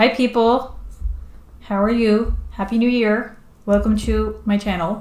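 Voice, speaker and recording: Against audible room echo, a woman speaks at a fairly slow pace in a fairly high pitch, with monotone, flat intonation and very even loudness. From Netherlands. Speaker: streamer and comic artist. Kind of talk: casual live stream chat. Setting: live stream while drawing. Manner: halting, many fillers.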